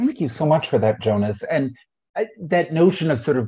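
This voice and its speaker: A man speaks with a dark, mellow, somewhat breathy tone. His pitch varies in an ordinary way against a quiet background. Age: middle-aged. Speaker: panel moderator. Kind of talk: moderated panel discussion. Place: home room. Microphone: video call.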